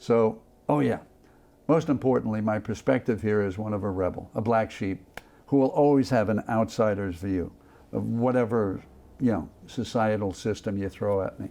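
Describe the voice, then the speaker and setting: A man talks with an American accent at a moderate pace. His tone is dark and mellow. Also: ordinary pitch variation. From Long Island, New York. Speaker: war veteran. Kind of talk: interview testimony.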